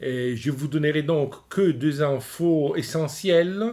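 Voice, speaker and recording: A man with an Italian accent speaks in a fairly high voice. His pace is very slow. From Italy. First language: Italian (speaking French). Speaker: opera lecturer. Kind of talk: lecture. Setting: recorded at home. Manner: hesitant, many fillers.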